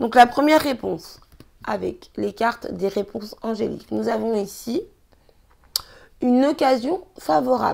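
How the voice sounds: In a put-on character voice, a woman sounds hoarse and raspy at a fairly high pitch, keeping a moderate pace broken by long, frequent pauses.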